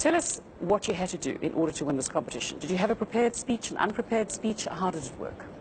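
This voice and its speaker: Speaking at a very fast pace, a woman of medium pitch makes very wide pitch swings against noticeable background noise. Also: hardly any pauses. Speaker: TV news presenter. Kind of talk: TV interview; news reading.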